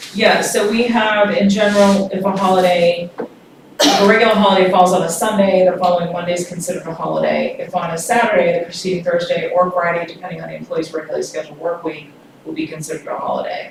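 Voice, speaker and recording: Over noticeable background noise and audible room echo, a woman talks at a very fast pace with a medium pitch and fairly even intonation. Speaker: consultant presenting employee handbook. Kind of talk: public meeting presentation.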